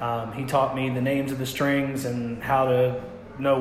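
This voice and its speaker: With a Kentucky accent, a man talks at a medium pitch with fairly even intonation over noticeable background noise. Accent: Southern US, Kentucky. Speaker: singer-songwriter musician. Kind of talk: casual interview chat. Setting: restaurant.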